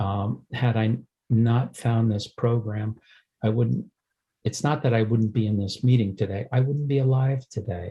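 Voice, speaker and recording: Somewhat breathy with a dark, mellow tone, a man speaks at medium pitch with fairly even intonation. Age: 70s. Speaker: twelve-step program member. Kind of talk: recovery share. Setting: video call. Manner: halting, many fillers.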